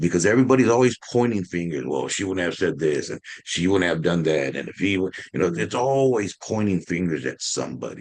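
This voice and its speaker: The speech comes at a fairly quick pace with hardly any pauses. The intonation is lively, and there is vocal fry. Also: man, very deep, low pitch for a man. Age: 60s. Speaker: community advocate. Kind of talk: panel discussion.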